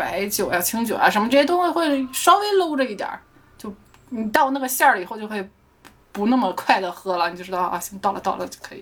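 A woman talks at a very fast pace with a fairly high pitch and very wide pitch swings. Her loudness varies a lot, and there is noticeable background noise. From Shandong, China.

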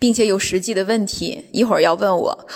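Here a woman talks with ordinary pitch variation. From China. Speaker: businesswoman on a sales trip. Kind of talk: personal account. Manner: hesitant with many fillers.

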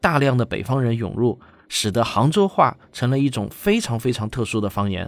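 A man talks at a moderate pace in a medium pitch. He has an unremarkable speaking voice, and the recording is very clean with a silent background. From Shaoxing, Zhejiang, China. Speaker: science communicator and documentary director. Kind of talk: event announcement to viewers.

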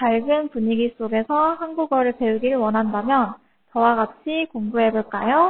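This woman has a high-pitched voice and keeps to a fairly slow pace. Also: ordinary pitch variation. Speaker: Korean language tutor. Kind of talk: self-introduction video.

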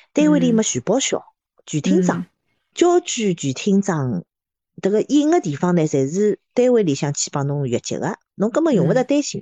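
Her pitch swings very widely around a medium level. The woman keeps a moderate pace. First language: Shanghainese (speaking Chinese). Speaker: podcast co-host. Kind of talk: casual chat.

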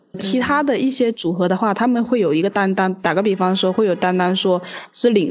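This woman's medium-pitched voice moves at a fairly quick rate, with ordinary variation in pitch. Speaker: podcast guest. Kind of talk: casual chat.

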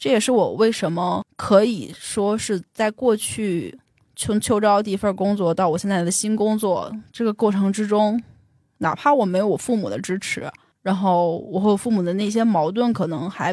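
A woman with an ordinary speaking voice talks at a moderate pace and medium pitch with ordinary pitch variation, in a very clean recording over a silent background. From Beijing. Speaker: tech company employee sharing life story. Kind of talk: personal testimony in interview.

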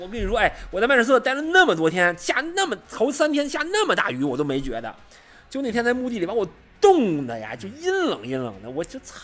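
A man's high voice at a fairly quick pace, with very wide pitch swings and big swings in loudness. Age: middle-aged. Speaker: football writer. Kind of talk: casual chat.

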